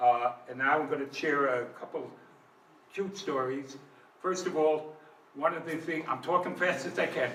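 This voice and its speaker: Speaking at a moderate pace with long, frequent pauses, a man with a fairly high pitch and ordinary pitch variation is heard through audible room echo and noticeable background noise. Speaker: business owner. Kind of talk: lecture. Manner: halting.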